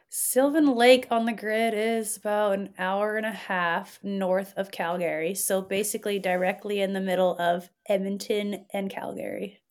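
Delivered in an ordinary speaking voice with a Canadian accent, the speech moves at a moderate pace with hardly any pauses and fairly even intonation. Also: woman, medium pitch for a woman. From Alberta, Canada. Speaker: race organizer. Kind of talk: casual chat.

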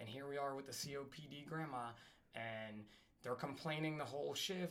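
A plain, everyday voice with an American accent, ordinary pitch variation and a fairly quick pace. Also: man. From New Jersey. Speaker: firefighter and paramedic. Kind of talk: casual chat.

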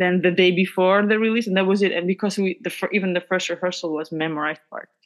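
A woman with a Georgian accent at a very fast pace. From Georgia (country). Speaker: pianist and composer. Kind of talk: casual interview. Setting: video call.

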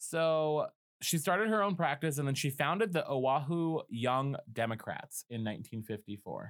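A man with an American accent has an unremarkable speaking voice, pitched fairly high, with lively intonation at a moderate pace. The recording is very clean, with a silent background. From Colorado. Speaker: podcast host. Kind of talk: reading aloud; casual chat.

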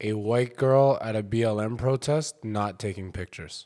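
The recording is very clean, with a silent background. A man speaks at a fairly low pitch. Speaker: comedian. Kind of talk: casual chat. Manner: monotone; quiet.

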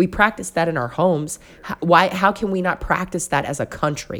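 A woman with a Mississippi accent speaks with lively intonation. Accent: Southern US (Mississippi). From US South, Mississippi Gulf Coast (Pascagoula). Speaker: podcast co-host. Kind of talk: casual chat.

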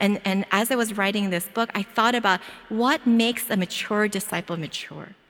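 Speaking with an American accent, a woman has a medium pitch. She keeps a moderate pace. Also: ordinary pitch variation. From Philadelphia. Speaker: preacher and doctor. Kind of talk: sermon.

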